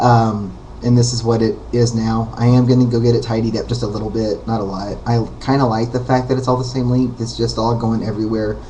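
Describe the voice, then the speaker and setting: Over noticeable background noise and audible room echo, a man talks at a fairly quick pace with hardly any pauses, his medium pitch held in monotone, flat intonation. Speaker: vlogger. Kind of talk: casual vlog monologue. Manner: hesitant, many fillers.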